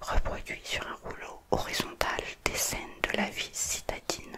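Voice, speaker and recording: A fairly slow whisper. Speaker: ASMR creator. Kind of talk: whispered ASMR reading of an art book. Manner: whispered. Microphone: studio mic.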